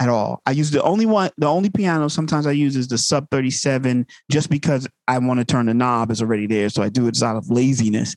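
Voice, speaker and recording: Someone with an American accent talks at a very fast pace, with ordinary pitch variation and very even loudness. The recording is very clean, with a silent background and a dry, close sound free of echo. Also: man, medium pitch for a man. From Long Island, New York. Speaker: music producer. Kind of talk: casual interview.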